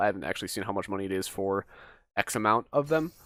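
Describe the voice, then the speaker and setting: With music in the background, the speaker moves at a fairly quick pace through very wide pitch swings. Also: man. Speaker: gaming commentator. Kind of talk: casual game review monologue. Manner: fast; unscripted, rambling delivery.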